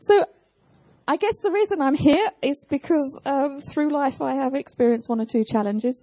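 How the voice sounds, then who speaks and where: A woman's high-pitched voice, dark and mellow in tone, moves at a fairly quick pace with lively intonation in a dry, close sound with no echo. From southern England. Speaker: pastor. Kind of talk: sermon. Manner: measured, pausing for interpreter.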